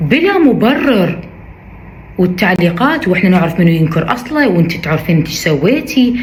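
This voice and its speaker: Amid noticeable background noise and audible room echo, a woman at a medium pitch makes very wide pitch swings. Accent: Iraqi. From Iraq. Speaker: social media influencer. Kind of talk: video statement responding to criticism. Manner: emphatic, repetitive.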